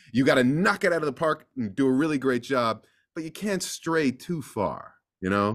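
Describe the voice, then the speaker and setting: In a plain, everyday voice with an American accent, a fairly high-pitched man speaks at a moderate pace with lively intonation on a very clean recording with a silent background. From US East Coast. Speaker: voice actor. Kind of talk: interview conversation.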